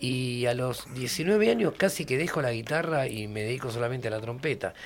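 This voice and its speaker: The speaker is a man. His pitch is medium. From Argentina, Buenos Aires province. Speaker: musician. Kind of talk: radio interview.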